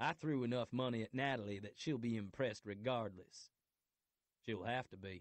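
A man puts on a gruff character voice at a medium pitch, moving at a moderate pace with ordinary pitch variation. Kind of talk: romance audiobook narration. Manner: gruff, blunt, nervous.

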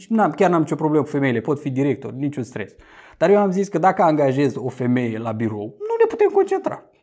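A man's dark, mellow voice, fairly high in pitch, moving at a fairly quick pace. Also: quiet background. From Romania. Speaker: YouTuber commenting on news. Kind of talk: casual news commentary to camera. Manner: conversational, animated. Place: home room. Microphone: lapel.

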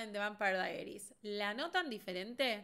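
A woman with a Rioplatense accent speaks at a moderate pace in a bright, sharp tone against a quiet background. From Argentina. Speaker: beauty content creator. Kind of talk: casual livestream commentary. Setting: livestream. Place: home room.

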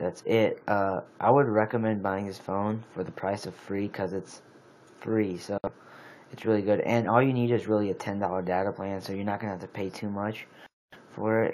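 A man talks in a fairly low voice. His intonation is monotone and flat. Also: moderate pace. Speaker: amateur phone reviewer. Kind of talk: casual product review. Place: home room. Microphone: phone near.

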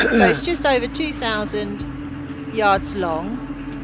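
A woman speaks at a fairly slow pace with music in the background. The sound is dry, with no echo. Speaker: boater vlogger. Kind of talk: casual vlog chat. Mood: excited, a little nervous. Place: boat. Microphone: phone near.

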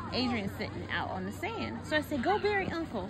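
Crowd noise fills the background as a woman speaks. Her voice sounds dry, with no echo. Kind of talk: casual vlog chat, storytelling. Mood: amused, chatty. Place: beach. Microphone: phone near.

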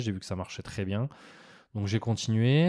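Against a quiet background, a man talks at a fairly quick pace in a dark, mellow tone with a dry, close sound and no echo. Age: 30s. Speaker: bank advisor trainer, ex-tennis pro. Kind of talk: casual interview chat. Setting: recorded in his short-term rental apartment.

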